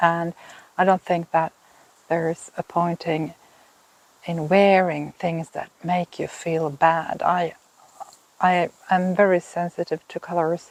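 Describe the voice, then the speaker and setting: In a Swedish accent, a woman speaks at a very slow pace with long, frequent pauses, a fairly low pitch and monotone, flat intonation, the sound dry and close with no echo. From Finland. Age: 50s. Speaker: knitting podcaster. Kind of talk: casual vlog talk. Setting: outdoors in a garden.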